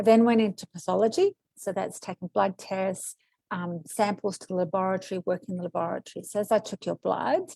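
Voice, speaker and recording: A dark, mellow tone with an Australian accent, big swings in loudness, a fairly quick pace and a quiet background. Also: woman, medium pitch for a woman, fairly even intonation, dry, close sound with no echo. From Australia, arrived from Kuwait at age five. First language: Arabic or Greek. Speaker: medical intuitive, former nurse. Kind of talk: interview.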